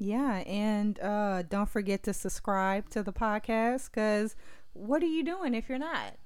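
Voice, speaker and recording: Fairly slow, lively intonation from a woman with a fairly high pitch and very even loudness. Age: 30s. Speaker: podcast co-host. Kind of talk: casual chat. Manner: animated.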